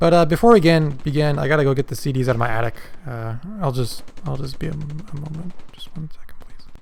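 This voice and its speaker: A man's fairly high, mumbling voice at a very fast pace, with ordinary pitch variation. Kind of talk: casual talk to camera.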